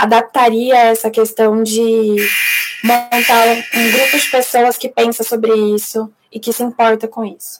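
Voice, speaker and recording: A woman's fairly high, monotone voice with flat intonation, at a fairly slow pace. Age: 20s. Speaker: psychologist and UX designer. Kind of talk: recorded talk; live Q&A. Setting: online live event.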